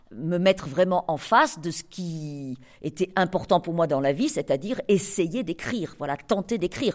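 In a very clean recording with a silent background, a woman with a fairly low pitch and lively intonation speaks in an unremarkable speaking voice. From France, Cantal. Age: 60s. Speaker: novelist. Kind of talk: author talk with readers.

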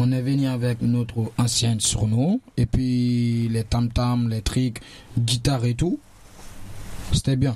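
This man's voice sits at a medium pitch and moves at a very slow pace. His intonation stays fairly even. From Guinea. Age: young. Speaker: DJ and young migrant. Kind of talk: casual discussion.

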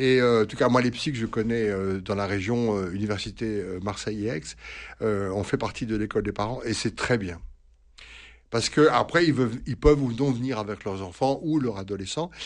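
A man's fairly low voice, with ordinary pitch variation, moves at a moderate pace over a quiet background. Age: 60s. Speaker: priest and psychoanalyst. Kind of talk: radio advice answering listener questions. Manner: halting, many hesitations and repetitions.

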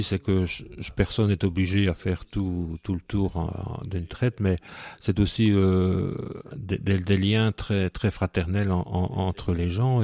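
With a very deep, low pitch and a dark, mellow tone, a man speaks at a fairly slow pace with fairly even intonation, recorded dry and close with no echo. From Belgium, Hainaut (Soignies). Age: 40s. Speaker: deacon. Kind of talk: radio interview. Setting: at home, living room. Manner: halting, frequent repetitions.

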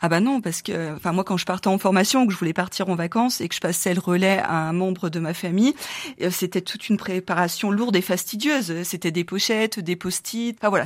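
A woman with an unremarkable speaking voice talks at a fairly quick pace. Her pitch sits in the medium range. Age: 40s. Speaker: founder of a digital platform for family carers. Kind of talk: radio interview.

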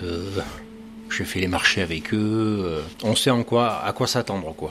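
A man speaks with noticeable background noise. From southwestern France, Gironde. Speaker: pastry chef. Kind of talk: interview. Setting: in his pastry shop. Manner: hesitant, frequent repetitions and fillers.

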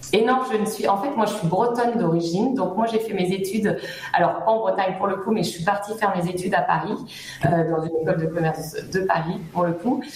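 Talking at a fairly quick pace, a woman has a medium pitch and ordinary pitch variation, with noticeable background noise and audible room echo. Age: 30s. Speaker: business owner, recruitment consultant. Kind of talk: radio interview. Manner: hesitant, many fillers.

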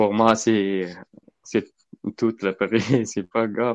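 With a non-native accent, the speaker is heard in a dry, close sound with no echo against a quiet background. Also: man. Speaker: charity volunteer. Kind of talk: testimony. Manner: halting.

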